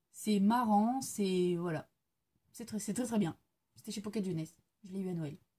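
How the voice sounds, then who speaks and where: A woman speaks in a dark, mellow tone that is somewhat breathy. Her loudness swings widely, and her pauses are long and frequent. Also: medium pitch for a woman, ordinary pitch variation, moderate pace. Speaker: book reviewer. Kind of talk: casual video monologue, book review. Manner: hesitant, many fillers.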